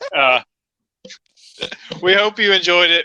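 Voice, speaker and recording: With an American accent, a man speaks in a dry, close sound with no echo. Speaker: wrestling podcast co-host. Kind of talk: casual chat.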